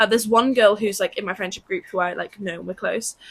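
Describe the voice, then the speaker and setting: A woman with a British accent speaks in a fairly high pitch with ordinary pitch variation. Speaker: podcast co-host. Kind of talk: casual chat. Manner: fast.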